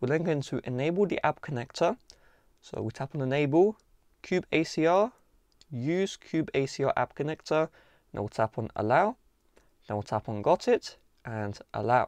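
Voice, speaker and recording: A man speaks at a moderate pace, his pitch swinging very widely, with long, frequent pauses. The sound is dry with no echo over a quiet background. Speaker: tech tutorial host. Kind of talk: tutorial. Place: home room.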